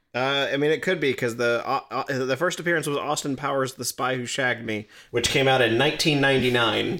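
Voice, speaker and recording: At a fairly quick pace, a man talks in a bright, sharp tone with fairly even intonation. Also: medium pitch for a man, hardly any pauses. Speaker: podcast co-host, Doctor Who expert. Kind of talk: casual chat, podcast banter.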